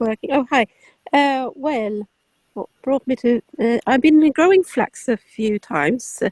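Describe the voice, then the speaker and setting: A woman speaks at a fairly slow pace with a high pitch and lively intonation, her loudness swinging widely. The sound is dry and close, with no echo. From Sweden. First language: Swedish. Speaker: hobby flax grower. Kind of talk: casual chat.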